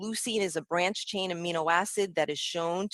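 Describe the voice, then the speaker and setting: The recording is very clean and the background silent. Speech unfolds at a medium speed. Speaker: dietitian. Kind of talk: lecture.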